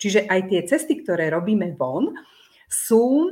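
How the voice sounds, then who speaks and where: A woman speaks at a fairly slow pace with a medium pitch. The recording is very clean, the background silent. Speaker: family therapist and teacher. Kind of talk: casual interview.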